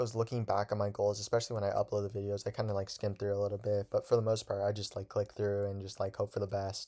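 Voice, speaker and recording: Mumbling from a man at a very fast pace, monotone and flat in intonation. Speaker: student podcaster. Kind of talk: casual monologue podcast. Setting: bedroom. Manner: halting.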